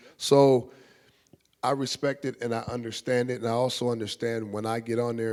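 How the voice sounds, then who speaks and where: Very fast and monotone, a man speaks at a medium pitch with flat intonation. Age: 40s. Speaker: panelist on sports and culture. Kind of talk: panel discussion.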